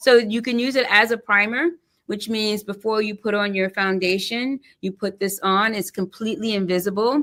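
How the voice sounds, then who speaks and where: A woman at a fairly high pitch uses a normal speaking voice, with ordinary pitch variation and a moderate pace. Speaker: beauty brand founder. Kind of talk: casual interview.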